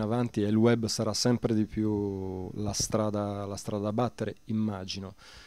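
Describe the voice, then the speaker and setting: A man speaks at a fairly slow pace with a fairly low pitch and a dark, mellow tone. His intonation is monotone and flat, and the sound is dry with no echo. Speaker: radio host and music journalist; interviewee. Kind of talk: interview. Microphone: handheld.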